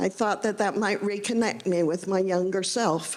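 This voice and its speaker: Heard with audible room echo, a woman with a Midwestern accent talks at a moderate pace with ordinary pitch variation. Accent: American Midwestern. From US Midwest, Indiana. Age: 70s. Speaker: novelist. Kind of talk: talk to audience. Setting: stage with audience. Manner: halting.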